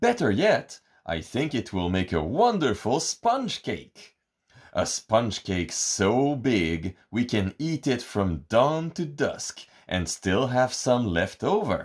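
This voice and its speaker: Speaking very slowly, a man uses a put-on character voice at a medium pitch. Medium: read story.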